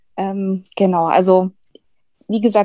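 A woman speaks at a medium pitch in a dark, mellow tone. Her intonation is monotone and flat, and the sound is dry and close with no echo. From Bavaria. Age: 40s. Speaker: former coaching program participant. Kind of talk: interview. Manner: hesitant, many fillers.

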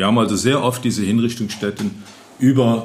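A man speaks at a fairly low pitch. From Rhineland, Neuwied-Irlich. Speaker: local historian and retired city lawyer. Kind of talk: interview. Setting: historic building, table with microphones.

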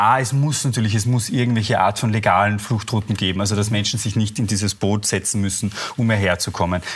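The voice is somewhat breathy, with fairly even intonation. It moves at a fairly quick pace with very even loudness. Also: man, fairly low pitch for a man. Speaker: journalist. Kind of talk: TV panel discussion. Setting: TV studio.

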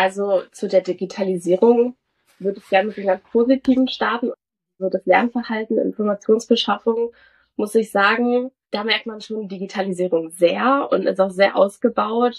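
With a plain, everyday voice, a woman talks at a moderate pace and fairly high pitch, her intonation fairly even, her loudness swinging widely, and the sound dry and close with no echo. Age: young. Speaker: medical student. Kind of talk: casual interview.

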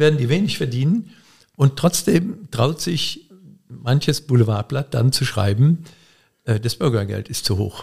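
A man's dark, mellow tone comes across as somewhat breathy, with lively intonation. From Koblenz area, Germany. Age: 70s. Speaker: author. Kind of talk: casual interview.

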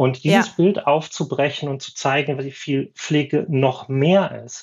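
Somewhat breathy, fairly high speech from a man, with ordinary pitch variation. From Schleswig-Holstein, northern Germany. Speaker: former nurse, consultant. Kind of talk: podcast interview.

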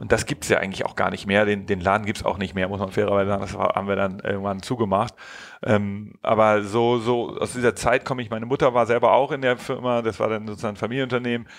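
Fairly low in pitch, a man talks at a very fast pace. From Hamburg, northern Germany. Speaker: founder of an innovation agency. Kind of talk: podcast interview. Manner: halting, many fillers and repetitions.

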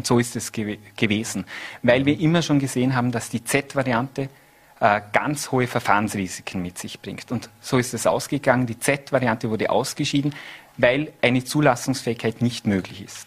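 His is a normal speaking voice, pitched at a medium level for a man. He keeps a moderate pace and ordinary pitch variation. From Austria, Vorarlberg (Lustenau). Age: 30s. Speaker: politician. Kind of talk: TV interview. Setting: studio.

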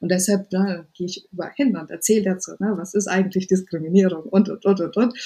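Her tone is dark and mellow, somewhat breathy, at a medium pitch. The woman's intonation stays fairly even. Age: 30s. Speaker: web3 diversity advocate and founder. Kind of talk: interview. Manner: halting.

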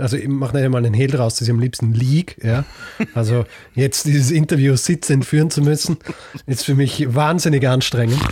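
Speaking with a slight Viennese accent, a man has a dark, mellow tone, somewhat breathy, at medium pitch, moderate pace and fairly even intonation. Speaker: history podcaster. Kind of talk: casual chat. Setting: remote recording from bedroom.

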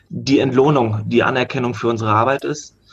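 Somewhat breathy, a man at medium pitch speaks at a moderate pace with fairly even intonation. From Germany, Hannover. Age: 20s. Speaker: rugby coach. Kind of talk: casual chat.

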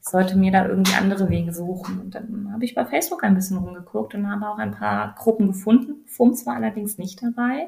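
A somewhat breathy woman at medium pitch, very fast pace and hardly any pauses, with lively intonation and big swings in loudness. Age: 30s. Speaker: person with multiple sclerosis. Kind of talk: interview.

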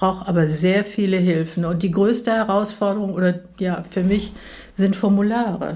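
Her voice somewhat breathy, a woman speaks with fairly even intonation. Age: 80s+. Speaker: interviewee with macular degeneration. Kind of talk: interview. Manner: hesitant, many fillers.

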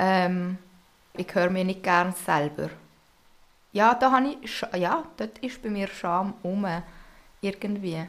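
Very slow and broken by long, frequent pauses, a woman's medium-pitched voice carries lively intonation. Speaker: co-host, host's older sister. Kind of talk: casual chat.

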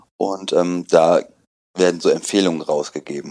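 This man talks fairly slowly in a very deep, low pitch with fairly even intonation. The recording is very clean with a silent background and a dry, close sound with no echo. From Germany, Aachen. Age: 30s. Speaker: person in home quarantine. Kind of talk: interview. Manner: hesitant, many filler sounds.

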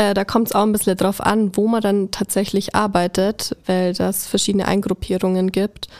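The speech moves at a moderate pace with hardly any pauses, very even loudness and monotone, flat intonation, in a dry, close sound with no echo. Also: woman, medium pitch for a woman. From Allgäu, Bavaria. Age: 20s. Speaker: kindergarten teacher. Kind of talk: casual interview.

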